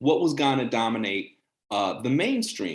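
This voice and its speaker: This is an unremarkable speaking voice at a moderate pace. The intonation is lively. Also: man. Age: 40s. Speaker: journalist, channel host. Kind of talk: casual interview chat. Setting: video call.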